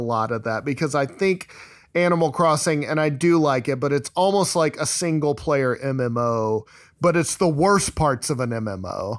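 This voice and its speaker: In a plain, everyday voice, a man talks at a moderate pace with lively intonation and a fairly high pitch for a man. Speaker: podcast host. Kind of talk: casual chat.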